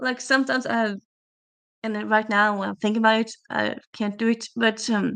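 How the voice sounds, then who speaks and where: A woman speaks with a slight Norwegian accent at a fairly high pitch. Her intonation is monotone and flat against a quiet background. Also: fairly quick pace. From Norway. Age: 30s. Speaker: booktuber streamer. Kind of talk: casual livestream chat. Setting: livestream on camera. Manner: chatty, hesitant with fillers.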